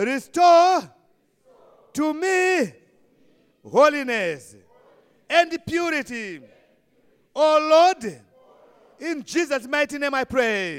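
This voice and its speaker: At a very slow pace with long, frequent pauses, a man with a Zimbabwean accent talks in an extremely high pitch with lively intonation. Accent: Shona-accented English. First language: Shona. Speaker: preacher. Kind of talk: Palm Sunday sermon, switching between Shona and English, ending in fervent prayer. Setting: church. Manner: fervent, exhortative, call-and-response.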